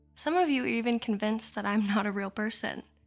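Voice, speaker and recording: A soft-spoken woman talks with a soothing tone at a fairly high pitch and ordinary pitch variation. Music plays in the background. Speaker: ASMR artist. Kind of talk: sleep hypnosis. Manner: slow, soothing.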